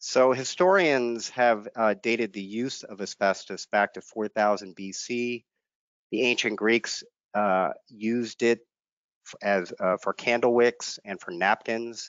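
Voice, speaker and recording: Against a quiet background with a dry sound and no echo, a man talks at a very slow pace with ordinary pitch variation. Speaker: state environmental regulator. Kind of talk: lecture. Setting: video webinar. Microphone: headset.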